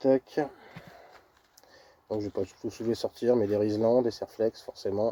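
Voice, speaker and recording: A man speaks quietly at a medium pitch in a dark, mellow tone, flat and monotone, with long, frequent pauses, in a dry, close sound with no echo. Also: fairly slow pace. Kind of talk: casual gear presentation to camera. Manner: monotone, quiet.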